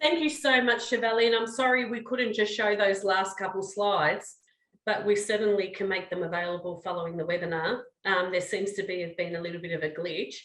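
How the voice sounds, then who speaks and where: In a room with audible echo, a woman with an Australian accent talks at a fairly quick pace. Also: medium pitch for a woman, ordinary pitch variation. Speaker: research director and webinar moderator. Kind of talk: webinar moderation.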